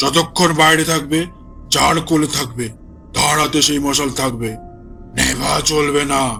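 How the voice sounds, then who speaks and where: With clear music in the background, a man puts on a character voice at a fairly high pitch and a fairly slow pace. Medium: audio drama. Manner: brusque, commanding.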